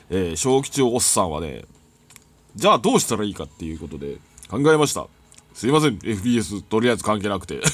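Speaking at a fairly quick pace, a man with fairly low pitch shows very wide pitch swings and big swings in loudness. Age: 40s. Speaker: gaming YouTuber. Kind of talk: casual monologue over gameplay. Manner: chatty with frequent laughs.

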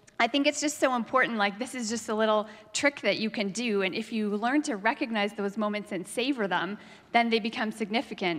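A woman talks at a fairly quick pace, her pitch varying in an ordinary way. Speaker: preacher. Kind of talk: sermon. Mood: warm, amused storytelling. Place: church. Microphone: handheld.

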